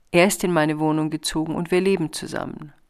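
In a very clean recording with a silent background, a woman speaks at a moderate pace in a very deep, low pitch. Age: 60s. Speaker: podcast host and author. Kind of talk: casual reflective monologue; reading aloud from own book.

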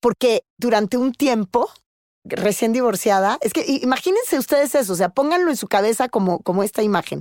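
Lively intonation marks a woman's plain, everyday voice, fairly high in pitch and at a fairly quick pace, on a very clean recording with a silent background. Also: dry, close sound with no echo. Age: 50s. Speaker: podcast host and news anchor. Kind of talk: casual chat.

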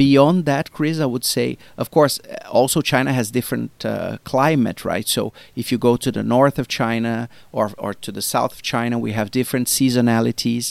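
A man at medium pitch with a Portuguese accent and big swings in loudness, on a very clean recording with a silent background and a dry, close sound with no echo. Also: fairly even intonation, moderate pace. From Brazil. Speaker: marketing executive. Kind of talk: interview. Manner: halting.

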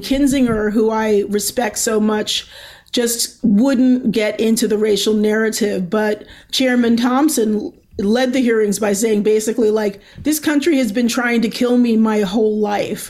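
An unremarkable speaking voice from a woman with an American accent, fairly high in pitch, at a fairly slow pace with fairly even intonation and very even loudness. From Baltimore, Maryland. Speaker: journalist and podcast host. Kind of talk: interview.

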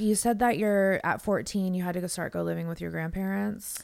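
This is a plain, everyday voice. It goes at a fairly quick pace with ordinary pitch variation. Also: woman. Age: 40s. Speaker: podcast host. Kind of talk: casual interview. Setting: studio.

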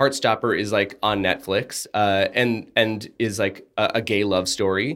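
Man with an unremarkable speaking voice, fairly low pitch, fairly slow pace, hardly any pauses, very even loudness and fairly even intonation, in a very clean recording with a silent background. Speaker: podcast co-host. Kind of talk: casual chat and TV review. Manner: playful, jokey.

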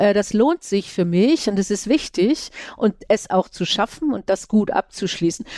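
Speaking fairly slowly with lively intonation, a woman has a dark, mellow tone in a dry, close recording with no echo. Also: medium pitch for a woman. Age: 60s. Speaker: podcast host. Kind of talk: interview.

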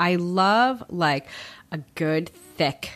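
Fairly low pitch from a woman, with a very clean recording and a silent background. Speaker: food blogger. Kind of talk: casual interview. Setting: home apartment.

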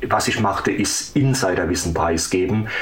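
Noticeable background noise and audible room echo accompany a man who talks fairly slowly. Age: 50s. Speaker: former homeless man, blogger. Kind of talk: interview conversation. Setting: remote call.

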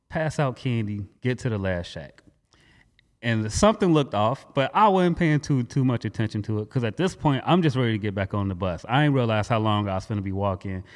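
A normal speaking voice at a fairly quick pace with lively intonation. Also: man, medium pitch for a man. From Gary, Indiana, US Midwest. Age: 20s. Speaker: music producer, military veteran. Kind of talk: casual interview chat.

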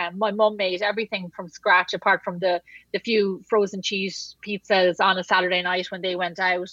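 A woman with an Irish accent speaks at a medium pitch in a bright, sharp tone with fairly even intonation. The background is quiet and the sound is dry and close, with no echo. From Wexford, southeast Ireland. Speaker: podcast guest, cookbook author; pastry chef. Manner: conversational, frequent "like" filler.

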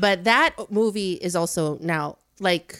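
In a very clean recording with a silent background, a woman with a fairly low pitch uses lively intonation in an ordinary speaking voice. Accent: American. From Chicago suburbs, US Midwest. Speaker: creative studio co-founder. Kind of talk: casual chat.

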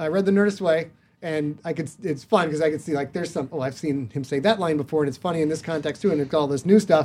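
A man with an American accent, a fairly high pitch, ordinary pitch variation and a very fast pace. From northern Michigan. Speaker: author and podcaster. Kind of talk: casual chat.

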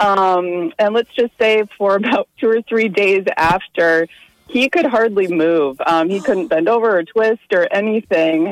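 In a normal speaking voice, a woman talks with lively intonation, medium pitch and very even loudness, the sound dry and close with no echo. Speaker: caller. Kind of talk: casual chat. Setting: phone call.

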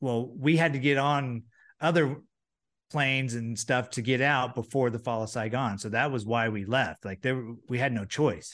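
In a quiet background, a man with an ordinary speaking voice talks at a moderate pace and medium pitch with ordinary pitch variation. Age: 40s. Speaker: former baseball pitcher and broadcaster. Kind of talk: casual chat. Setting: video call.

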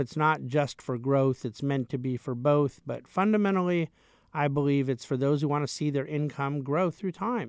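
The recording is very clean with a silent background and a dry, close sound with no echo. A man with an unremarkable speaking voice talks at a moderate pace, his pitch fairly high with ordinary variation. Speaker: money manager. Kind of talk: interview.

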